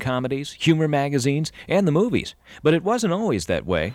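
At a fairly quick pace, a man talks in a plain, everyday voice pitched fairly high. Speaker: narrator. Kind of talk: scripted narration.

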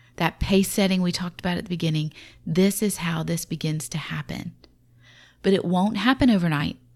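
A woman talks at a fairly quick pace in a somewhat breathy voice on a very clean recording with a silent background. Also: fairly low pitch for a woman, ordinary pitch variation. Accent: Southern US. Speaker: podcast host, mother. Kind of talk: faith-based parenting talk.

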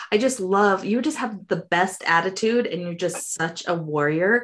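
A plain, everyday voice speaks with a General American accent. Loudness swings widely against a quiet background. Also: woman. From Colorado, US. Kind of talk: interview conversation. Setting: remote interview.

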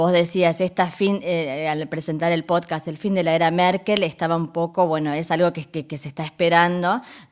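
Over a silent background in a very clean recording, the speech moves at a moderate pace with hardly any pauses and fairly even intonation. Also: woman, fairly low pitch for a woman. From northern Argentina (Resistencia, Chaco). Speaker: radio journalist and presenter. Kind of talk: interview.

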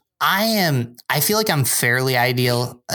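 A man with an American accent and an ordinary speaking voice talks at a medium pitch and a fairly slow pace, with ordinary pitch variation. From upstate New York (Binghamton). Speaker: church adult ministries director. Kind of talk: casual chat.

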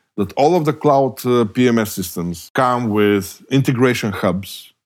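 Speaking with a Bulgarian accent, a man with a medium-pitched voice uses lively intonation on a very clean recording with a silent background. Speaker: hospitality technology professor. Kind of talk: interview.

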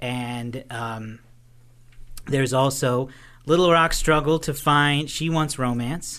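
Against a quiet background, a man with an American accent speaks at a very slow pace in a bright, sharp tone, with fairly even intonation and long, frequent pauses. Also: fairly high pitch for a man. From Oklahoma, Tulsa. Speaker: podcast host, movie reviewer. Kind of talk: casual chat.

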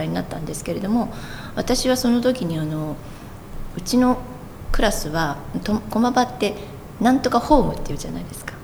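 A woman speaks at a fairly quick pace with very wide pitch swings, with audible room echo and noticeable background noise. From Tokyo, moved around Japan as a child. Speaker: construction company president. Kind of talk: interview.

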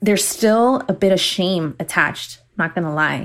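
The recording is very clean, with a silent background. A woman with an ordinary speaking voice talks fairly slowly at a fairly low pitch. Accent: American. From Miami, Florida. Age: 20s. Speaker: social worker. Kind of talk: personal testimony.

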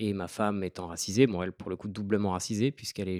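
A man speaks at a fairly low pitch in a flat monotone, recorded very cleanly against a silent background with a dry, close sound and no echo. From France, Île-de-France (Seine-et-Marne). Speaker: author and Instagram creator. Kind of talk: podcast interview.

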